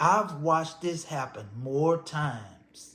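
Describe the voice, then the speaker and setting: Amid audible room echo, a man in an American accent talks at a very slow pace. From Texas, Houston. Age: 60s. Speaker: storyteller. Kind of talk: personal storytelling. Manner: conversational.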